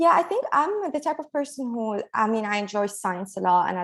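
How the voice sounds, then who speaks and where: A woman with an Arabic accent, fairly quick pace, quiet background. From Lebanon. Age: 20s. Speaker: engineering PhD student. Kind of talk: Q&A session. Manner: halting.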